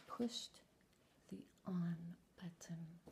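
Whispering and soft-spoken, the voice is somewhat breathy and very slow, over light background noise. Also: woman. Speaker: author and ASMR content creator. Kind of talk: ASMR story reading, soft-spoken first-person anecdote. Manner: soft-spoken, whispering, relaxing. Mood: humorous, mock exasperated. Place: home room. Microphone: webcam.

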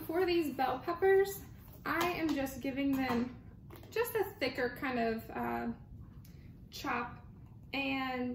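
Spoken at a fairly slow pace, the voice carries audible room echo over light background noise. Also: woman. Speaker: home cook vlogger. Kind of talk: casual cooking tutorial. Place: kitchen. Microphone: phone near.

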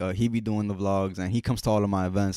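A man with an American accent, fairly low in pitch, at a very fast pace in monotone, flat intonation, with a quiet background and a dry sound with no echo. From North Jersey, US. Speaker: music artist and clothing entrepreneur; podcast guest. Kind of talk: casual chat. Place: home room. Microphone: handheld.

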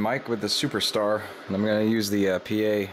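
A man with a fairly low pitch speaks over light background noise. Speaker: CB radio hobbyist. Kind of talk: casual review talk. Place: home room. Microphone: phone near.

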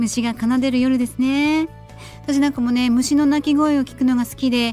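With faint music in the background, a woman talks at a moderate pace in a high pitch, the sound dry with no echo. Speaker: radio personality. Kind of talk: radio show host talk. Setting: studio. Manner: friendly, chatty. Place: studio.

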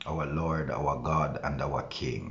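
Light background noise behind a man's very deep, low voice with fairly even intonation. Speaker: pastor. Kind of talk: prayer. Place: home room. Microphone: phone near.

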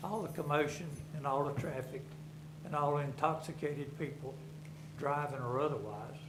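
Speaking in a Southern US accent, a man uses a fairly high pitch and a monotone, flat intonation at a moderate pace. Long, frequent pauses break up his speech, with noticeable background noise and audible room echo. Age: 70s. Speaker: resident speaking at public comment. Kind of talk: public comment at a government meeting. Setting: county board meeting room. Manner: halting.

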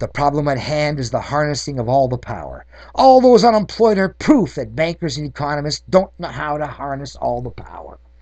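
Against a quiet background, a man talks at a fairly quick pace with big swings in loudness. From Canada. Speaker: political activist. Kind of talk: reading aloud.

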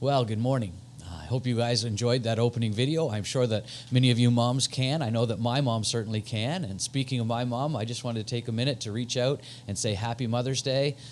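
A man talks at a fairly quick pace and with fairly even intonation while light background noise plays. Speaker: associate pastor. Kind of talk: church announcements. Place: home room. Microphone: handheld.

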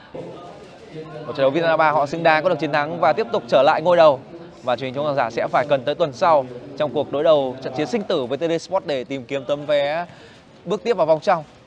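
Music plays in the background while a man talks at a very fast pace. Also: fairly high pitch for a man, ordinary pitch variation. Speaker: football commentator. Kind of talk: live sports commentary. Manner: animated; fast-paced.

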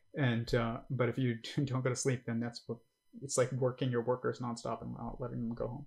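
Talking at a fairly quick pace, a man delivers his words in a monotone, flat intonation with vocal fry. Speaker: livestream host reacting to a podcast; livestream host. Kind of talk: casual commentary on livestream. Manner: hesitant, many fillers. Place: home room.

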